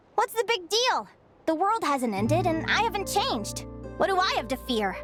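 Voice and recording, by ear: Over faint music in the background, a put-on character voice swings widely in pitch with a fairly bright tone. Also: woman, extremely high pitch for a woman, moderate pace.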